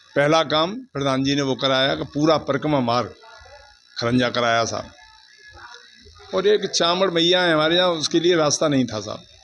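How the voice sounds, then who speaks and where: A man's fairly high-pitched voice broken by long, frequent pauses, with music in the background. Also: ordinary pitch variation. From Uttar Pradesh, Mathura area. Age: 60s. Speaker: villager interviewed. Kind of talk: street interview.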